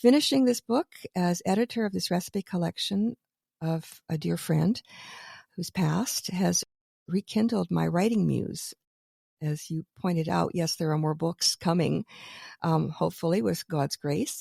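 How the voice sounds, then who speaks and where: A fairly low, dark and mellow female voice, somewhat breathy, with a Canadian accent, at a rather slow pace with long, frequent pauses, in a dry, close recording free of echo. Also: ordinary pitch variation, very clean recording, silent background. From Canadian Prairies. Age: 70s. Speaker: radio host and author. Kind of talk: interview.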